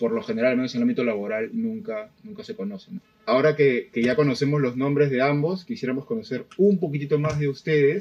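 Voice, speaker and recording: The voice races along at a very fast pace, its pitch swinging very widely. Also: man, fairly high pitch for a man. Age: 40s. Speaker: podcast co-host. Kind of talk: casual chat.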